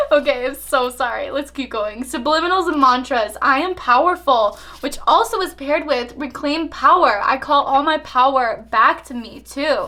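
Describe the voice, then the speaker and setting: The voice is raised and projected, with an animated tone. It moves at a moderate pace with ordinary pitch variation. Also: woman, high pitch for a woman. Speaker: tarot reader. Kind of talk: tarot reading monologue.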